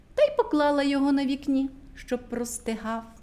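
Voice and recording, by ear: A woman's voice with lively intonation at a moderate pace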